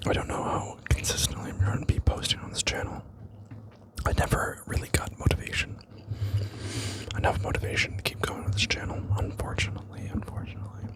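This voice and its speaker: Whispering at a very fast pace, broken by long, frequent pauses, with noticeable background noise. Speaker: ASMR creator. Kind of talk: ASMR unboxing ramble. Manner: whispered, soft-spoken.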